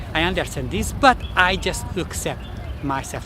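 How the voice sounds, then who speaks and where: Noticeable background noise under a fairly slow delivery. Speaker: self-development vlogger. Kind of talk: casual vlog talk to camera. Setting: public place, outdoors. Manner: halting, repeats words.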